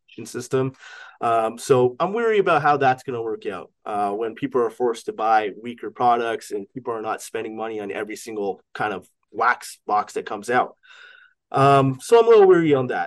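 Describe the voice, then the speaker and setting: In a normal speaking voice, a man with a Canadian accent talks at a fairly quick pace at medium pitch, with ordinary pitch variation, big swings in loudness and a quiet background. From Canada. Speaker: sports card auction house owner. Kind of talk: casual chat.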